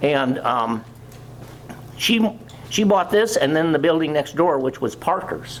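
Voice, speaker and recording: A man's fairly high-pitched voice with an American accent and lively intonation, over noticeable background noise. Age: 80s+. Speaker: local historian presenter. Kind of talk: community talk with slides. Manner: halting.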